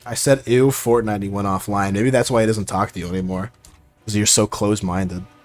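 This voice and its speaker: Quiet and fairly quick, a man with an American accent talks in a fairly low pitch with fairly even intonation. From Oregon, US. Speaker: gaming streamer. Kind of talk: casual live-stream chat.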